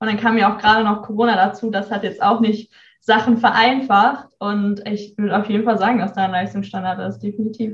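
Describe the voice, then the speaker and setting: A woman speaks at a fairly quick pace in a medium pitch, her somewhat breathy voice held to a monotone, flat intonation. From North Rhine-Westphalia, near Bielefeld. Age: young. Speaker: university student. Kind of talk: casual interview.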